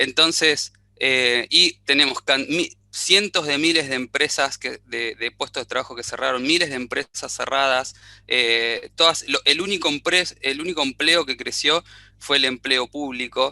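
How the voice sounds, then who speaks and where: A fairly high-pitched man with an Argentine accent, a bright, sharp tone, ordinary pitch variation and a fairly slow pace, in a dry, close sound with no echo against a quiet background. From Argentina. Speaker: audience participant in webinar. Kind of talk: question in online panel discussion. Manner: halting, many fillers and restarts.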